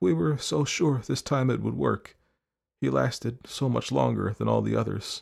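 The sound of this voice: Soft-spoken in a put-on character voice, a man talks at a fairly slow pace and medium pitch with ordinary pitch variation, a slightly mellow tone, a slightly husky edge and vocal fry.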